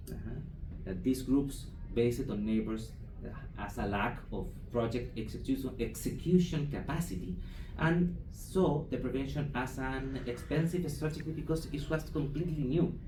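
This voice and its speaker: A man with a Chilean accent and a fairly high pitch, at a moderate pace with ordinary pitch variation and audible room echo. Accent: non-native English, Chilean Spanish. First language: Spanish. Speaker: foundation program manager presenting at conference. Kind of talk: conference presentation. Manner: halting, many hesitations and restarts.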